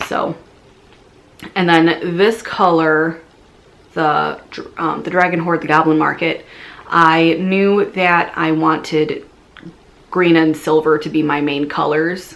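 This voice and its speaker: Speaking at a very slow pace with long, frequent pauses, a woman uses a fairly low pitch and a monotone, flat intonation. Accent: Midwestern. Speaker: knitting podcaster. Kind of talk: casual video podcast monologue. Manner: hesitant, many fillers and restarts.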